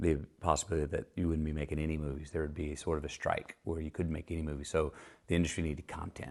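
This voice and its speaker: A man with a very deep, low pitch at a very fast pace, monotone and flat in intonation, over a quiet background. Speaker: actor discussing his film career. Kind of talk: casual rambling talk in an interview. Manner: soft-spoken, relaxed, rambling.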